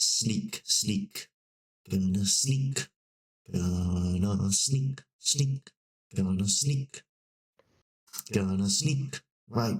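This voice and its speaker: A put-on character voice at a very slow pace, full of long, frequent pauses. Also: man, medium pitch for a man. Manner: sneaky, hushed.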